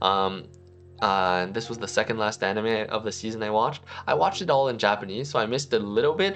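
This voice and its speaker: Over music in the background, a man speaks at a very fast pace with a medium pitch and ordinary pitch variation. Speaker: anime YouTuber. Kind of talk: casual review monologue. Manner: rambling with many fillers.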